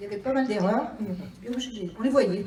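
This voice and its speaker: Moderately paced speech from a woman, her pitch varying in an ordinary way, with audible echo from the room. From France, Drôme (Livron). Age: 60s. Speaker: municipal election candidate, retired accountant. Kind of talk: candidate self-introduction speech.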